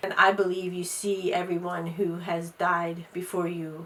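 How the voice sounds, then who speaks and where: A woman with an American accent speaks at a moderate pace in a monotone, flat way, with noticeable background noise behind her. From US Mid-Atlantic, Delaware. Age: 60s. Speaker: interviewee, host's mother. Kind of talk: interview testimony.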